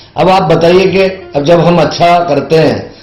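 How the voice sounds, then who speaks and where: A man's voice with music in the background. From Ujjain, India. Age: 60s. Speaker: teacher and stage anchor. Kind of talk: podcast interview answer.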